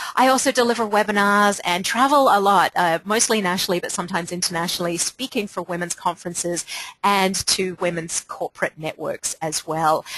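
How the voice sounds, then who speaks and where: Speaking with an American accent at a fairly quick pace with hardly any pauses, a woman has a medium pitch, ordinary pitch variation and a dry, close sound with no echo. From Australia. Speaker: leadership coach. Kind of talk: webinar presentation.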